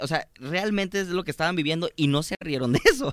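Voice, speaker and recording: With an animated tone and ordinary pitch variation, a man talks at a very fast pace. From Mexico, Guadalajara, Jalisco. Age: 20s. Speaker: stand-up comedian. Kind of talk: casual chat. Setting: studio.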